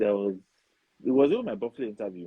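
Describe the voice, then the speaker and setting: This is a man speaking. He has a Nigerian accent. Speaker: foreign-trained dentist. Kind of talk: interview.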